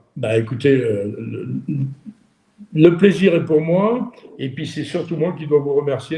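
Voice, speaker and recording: A man speaking at a very slow pace, with ordinary pitch variation. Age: 30s. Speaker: interviewer, shooting sport business. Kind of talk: interview. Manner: hesitant, many repetitions.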